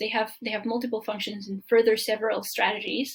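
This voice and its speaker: A woman with a Spanish accent at a moderate pace. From Mexico. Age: 20s. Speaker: permaculture design student. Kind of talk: presentation. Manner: halting.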